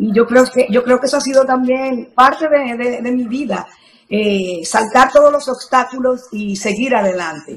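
A woman with a Dominican accent speaks at a high pitch and a fairly slow pace. Her pitch varies an ordinary amount. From Dominican Republic, Sabaneta. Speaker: journalist. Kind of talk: interview.

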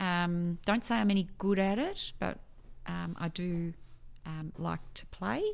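A woman with an Australian accent speaks very slowly, leaving long, frequent pauses. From Melbourne, Australia. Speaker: quality manager. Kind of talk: casual interview.

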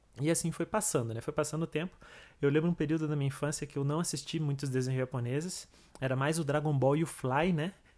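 A man's fairly high pitch at a very fast pace with fairly even intonation, on a very clean recording over a silent background. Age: 30s. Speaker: podcast host. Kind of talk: casual monologue.

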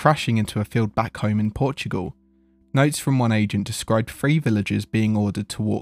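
The audio consists of plain reading aloud.

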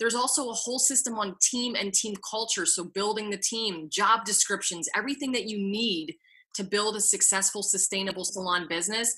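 Loud and fairly quick, a woman with medium pitch and a bright, sharp tone speaks with ordinary pitch variation. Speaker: podcast co-host, former salon owner. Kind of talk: casual chat.

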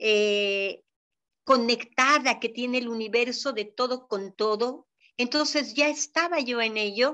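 A woman speaks at a very slow pace in a high voice. Her tone is bright and sharp. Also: ordinary pitch variation. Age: 60s. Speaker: traditional Chinese medicine doctor. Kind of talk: interview.

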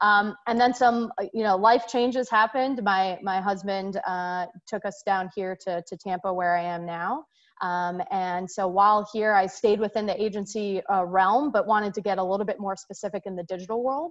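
A woman with an American accent, medium pitch, ordinary pitch variation, moderate pace and a normal speaking voice. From Singapore, raised overseas by American parents. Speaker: sports marketing executive. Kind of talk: interview.

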